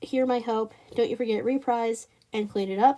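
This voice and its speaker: A woman with a high voice. Her tone is dark and mellow. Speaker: YouTuber reviewing animated shows. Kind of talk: casual vlog commentary. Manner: casual, with frequent fillers and self-corrections.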